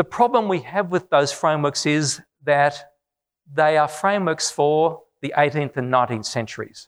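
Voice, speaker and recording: A man with an Australian accent, fairly high in pitch, with ordinary pitch variation and a moderate pace, on a very clean recording with a silent background. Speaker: business school professor. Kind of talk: public lecture.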